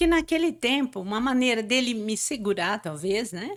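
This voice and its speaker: The recording is very clean with a silent background. A woman talks in a high voice with lively intonation. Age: 60s. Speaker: motivational speaker. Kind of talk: interview. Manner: halting.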